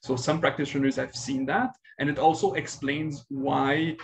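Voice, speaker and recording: A somewhat breathy man's voice with a slight Quebec accent. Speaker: pediatric infectious disease physician. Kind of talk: webinar presentation and Q&A. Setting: online webinar. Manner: hesitant, many fillers.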